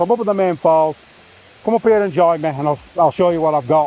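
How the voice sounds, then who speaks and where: A man shouts in a Yorkshire accent, his voice high-pitched with ordinary pitch variation, in a dry, close recording with no echo. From Yorkshire, northern England. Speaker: landscape photographer. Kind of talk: casual vlog narration. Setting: outdoors at a waterfall. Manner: loud, shouting over water.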